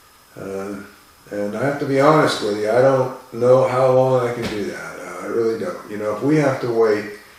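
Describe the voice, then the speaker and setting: Medium-pitched male voice with ordinary pitch variation, audible room echo and noticeable background noise. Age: 60s. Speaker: falconer. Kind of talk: casual vlog talk to camera. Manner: halting, many fillers and repeats.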